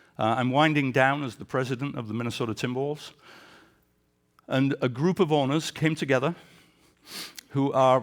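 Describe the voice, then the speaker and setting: Someone with an English accent speaks at a moderate pace with ordinary pitch variation. There are long, frequent pauses, and the recording is very clean, with a silent background. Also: man. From England. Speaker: sports executive. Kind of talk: leadership talk.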